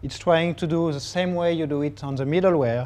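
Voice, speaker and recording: A man with a French accent speaks at a moderate pace and fairly high pitch. His tone is dark and mellow, with ordinary pitch variation. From France. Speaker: technology evangelist. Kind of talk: tech talk presentation.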